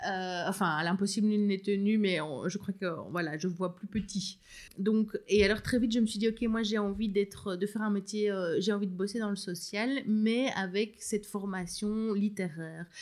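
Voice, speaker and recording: A woman speaks with fairly even intonation. She barely pauses at all. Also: medium pitch for a woman, moderate pace. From rural Belgium. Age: 30s. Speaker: new mother, former literacy teacher. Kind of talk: casual interview. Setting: at home with baby in a sling.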